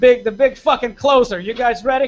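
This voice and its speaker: A man speaks at a moderate pace in an extremely high voice. His intonation stays fairly even. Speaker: comedian. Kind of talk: stand-up. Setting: stage with audience.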